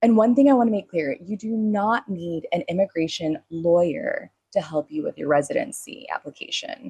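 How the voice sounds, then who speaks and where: Somewhat breathy speech at a moderate pace, with very wide pitch swings and dry, close sound with no echo. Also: woman. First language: not Spanish; speaks Spanish as second language. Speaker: podcast host. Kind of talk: solo podcast monologue. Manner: casual, conversational with fillers.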